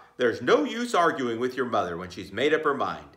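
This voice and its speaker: A man puts on a character voice at a medium pitch. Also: fairly quick pace. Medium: read story.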